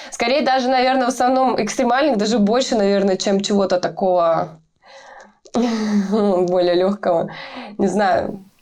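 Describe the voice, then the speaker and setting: Speaking at a fairly slow pace with long, frequent pauses, a woman keeps her loudness very even and her pitch variation ordinary. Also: medium pitch for a woman. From Russia, small town. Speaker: metal band vocalist. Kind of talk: interview. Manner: hesitant, many filler sounds.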